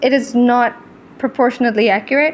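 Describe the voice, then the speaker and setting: A high-pitched woman's voice, animated in tone, amid noticeable background noise. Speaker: artist and video creator. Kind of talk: casual chat. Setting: voiceover recorded over video.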